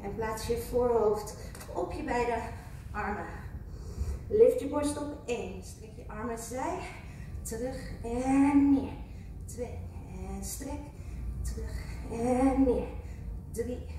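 A woman's very slow speech with long, frequent pauses and big swings in loudness, plus audible room echo and light background noise. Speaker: fitness instructor. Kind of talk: workout class instruction. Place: gym.

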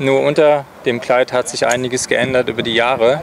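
A man at a medium pitch and a fairly slow pace, with faint background noise

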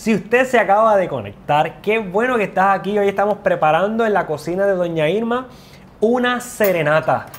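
This man has a high-pitched voice with ordinary pitch movement. He speaks at a moderate pace. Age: 40s. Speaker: nutrition show host. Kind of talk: cooking show chat. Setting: kitchen. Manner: animated. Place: kitchen. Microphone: lapel.

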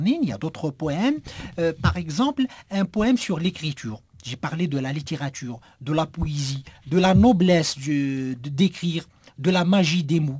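Here a man speaks with lively intonation at a fairly quick pace. His pitch sits fairly high. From Algeria. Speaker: writer and poet; poet. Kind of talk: radio interview. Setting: radio studio. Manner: halting with repetitions.

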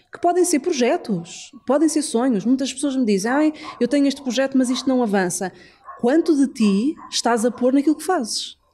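A woman with a high voice speaks at a moderate pace with lively intonation. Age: 40s. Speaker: numerologist. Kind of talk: casual chat.

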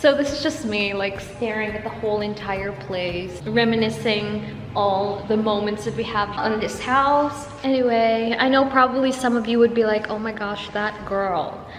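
With music in the background and audible room echo, the speech moves at a moderate pace with ordinary pitch variation and hardly any pauses. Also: woman. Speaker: vlogger. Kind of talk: casual vlog chat. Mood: wistful, sentimental. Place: home room. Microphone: phone near.

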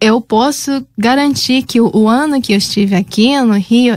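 Speaking with a Japanese accent, a woman uses fairly high pitch and ordinary pitch variation at a fairly slow pace. The background is quiet and the sound is dry, with no echo. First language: Japanese (speaking Portuguese). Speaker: master's student; guest. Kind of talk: radio interview. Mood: warm, nostalgic. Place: studio. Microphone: studio mic.

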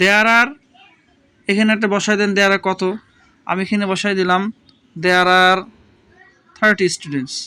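A man with a high pitch uses a raised, projected voice, bright and sharp in tone, with fairly even intonation. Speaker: English teacher. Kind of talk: tutorial.

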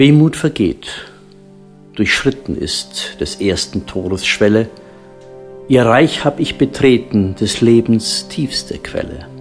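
Over music in the background, a man with a medium pitch speaks at a very slow pace, with very wide pitch swings and long, frequent pauses. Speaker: narrator. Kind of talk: audio drama narration, mystical poetic story reading.

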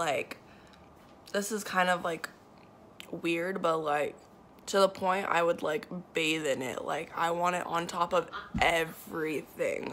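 A woman with an American accent talks at a very slow pace and a fairly low pitch. Her intonation is fairly even, and there is light background noise. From Nevada, US. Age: 20s. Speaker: vlogger with chronic illness. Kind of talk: casual vlog. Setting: in a car. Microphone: phone near.

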